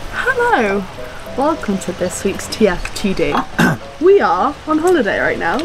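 A high-pitched woman at a fairly slow pace, long and frequent pauses, very wide pitch swings, noticeable background noise. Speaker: vlogger. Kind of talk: casual talk to camera. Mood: cheerful, playful. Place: garden. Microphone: camera far.

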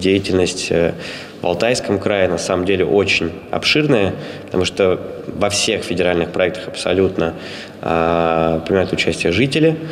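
A man with a very deep, low pitch talks at a fairly slow pace. Light background noise is present. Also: ordinary pitch variation. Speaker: head of an educational organization. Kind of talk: interview. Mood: calm, pleased. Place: hall. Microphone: handheld.

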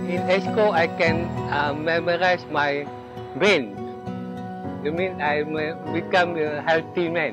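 Clear music plays in the background as a man talks at a very slow pace, with long, frequent pauses. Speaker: security guard; retired police officer. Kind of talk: interview answer. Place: garden. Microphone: lapel.

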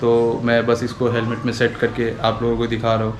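A man talks at a medium pitch. Faint background noise can be heard.

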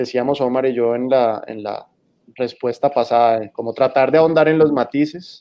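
A plain, everyday voice at a fairly slow pace, with fairly even intonation. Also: man. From Colombian Caribbean, San Andrés island; Colombia. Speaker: magazine editor; guest, lawyer. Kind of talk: panel discussion. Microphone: video call.

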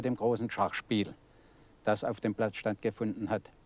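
Heard dry with no echo, a man speaks at a moderate pace in a dark, mellow tone. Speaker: elderly club member, witness. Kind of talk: interview recollection. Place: garden.

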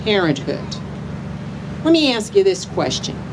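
Over noticeable background noise, a woman speaks in a passionate tone. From US Midwest. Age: 50s. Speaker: rally speaker. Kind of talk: rally speech, rousing and personal testimony. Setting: outdoor rally with crowd. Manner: emphatic, rallying the crowd with direct questions, earnest and passionate. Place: street. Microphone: handheld.

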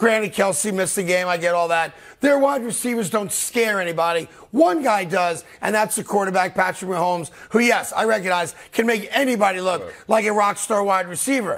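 The speech comes at a fairly quick pace with ordinary pitch variation. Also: man, high pitch for a man. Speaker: talk show host. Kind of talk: sports commentary. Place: studio. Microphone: lapel.

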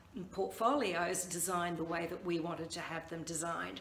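A woman at a moderate pace, with audible room echo. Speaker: branding coach. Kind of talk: tutorial. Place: home room. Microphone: phone near.

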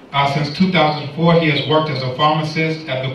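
A man speaks with monotone, flat intonation amid light background noise and audible room echo. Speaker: seminar series moderator. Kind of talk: event moderation. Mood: light, humorous. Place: hall. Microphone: pa.

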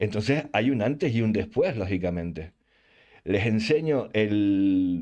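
Speaking at a very slow pace with a Canarian accent, a man uses a fairly low pitch, a dark, mellow tone, lively intonation and very even loudness. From Canary Islands, Spain. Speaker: gaming youtuber. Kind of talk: channel announcement monologue. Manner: casual, hesitant with fillers.

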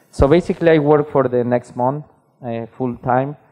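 Fairly even intonation from a man with a Spanish accent. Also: quiet background. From Mexico. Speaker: type designer; conference speaker. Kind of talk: conference talk. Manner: halting. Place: hall. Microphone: headset.

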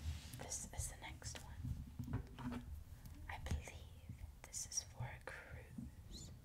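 The speaker is whispering at a very slow pace. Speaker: ASMR creator. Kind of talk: ASMR video. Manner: whispered, soft-spoken.

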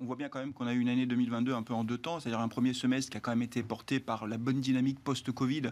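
A man talks at medium pitch in a monotone, flat intonation. His pace is very fast, with hardly any pauses. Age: 50s. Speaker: economist and town mayor; town mayor. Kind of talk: panel discussion. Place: studio. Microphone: lapel.

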